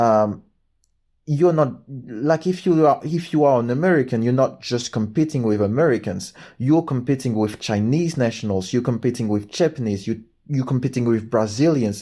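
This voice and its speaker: A man speaks at a moderate pace with a medium pitch and ordinary pitch variation, recorded very cleanly against a silent background. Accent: French. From France. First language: French. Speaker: book and movie reviewer. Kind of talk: casual monologue review. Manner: halting, with repetitions and fillers.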